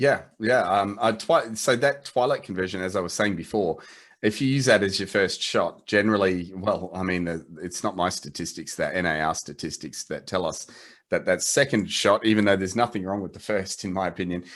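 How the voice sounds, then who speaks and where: In a quiet setting, a man with an Australian accent speaks at a fairly quick pace, his fairly low pitch showing ordinary variation. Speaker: photo editing company representative. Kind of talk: video call interview. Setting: video call. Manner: halting, many restarts.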